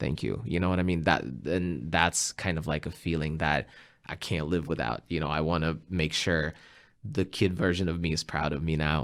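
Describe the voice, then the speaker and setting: In a very clean recording with a silent background, a man with a very deep, low pitch and vocal fry speaks at a moderate pace with ordinary pitch variation. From Russia, western Siberia. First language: Russian. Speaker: musician and English teacher. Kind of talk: interview conversation.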